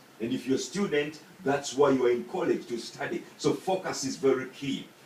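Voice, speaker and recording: A man speaks at a fairly slow pace in a Ugandan accent. His pitch swings very widely. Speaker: student. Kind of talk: persuasive speech. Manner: halting.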